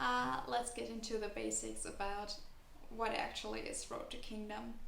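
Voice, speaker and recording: At a moderate pace, a woman speaks with a non-native accent. Noticeable background noise and audible room echo are present. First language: not English. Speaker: kpop youtuber and dancer. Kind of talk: casual vlog commentary.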